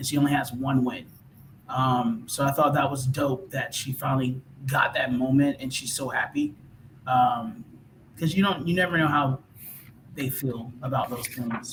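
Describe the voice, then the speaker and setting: A man with a Southern accent, fairly high-pitched, ordinary pitch variation, a moderate pace, long and frequent pauses, and noticeable background noise. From US South, Georgia. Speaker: musician guest. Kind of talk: casual chat.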